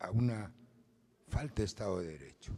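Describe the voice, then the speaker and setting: Lively intonation runs through a man's dark, mellow, somewhat breathy voice, set at a fairly low pitch. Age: 70s. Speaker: lawyer. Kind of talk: forum comment.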